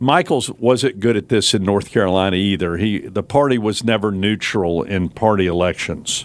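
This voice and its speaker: This man has an ordinary speaking voice at medium pitch. He keeps a moderate pace with lively intonation. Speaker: former governor, political commentator. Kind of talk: political commentary on talk radio. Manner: blunt, outspoken.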